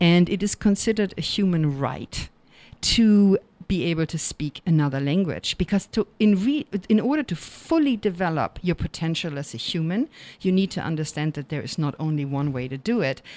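A woman's fairly low voice with lively intonation and a German accent, on a very clean recording with a silent background and a dry, close sound with no echo. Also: moderate pace. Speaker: college professor. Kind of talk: interview. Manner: many filler words, hesitant.

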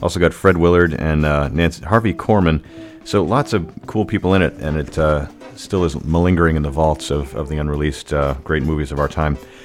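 Music in the background behind a man with a very deep, low pitch, ordinary pitch variation and a fairly quick pace. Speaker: radio host. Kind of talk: radio show hosting, music announcing. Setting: radio studio. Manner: casual, rambling, chatty; hesitant, filler-heavy.

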